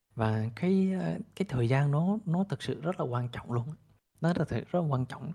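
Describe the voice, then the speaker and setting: Fairly high-pitched yet dark and mellow in tone, a man's somewhat breathy voice moves at a fairly quick pace through very wide pitch swings. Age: 30s. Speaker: crypto investor and entrepreneur. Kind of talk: interview storytelling.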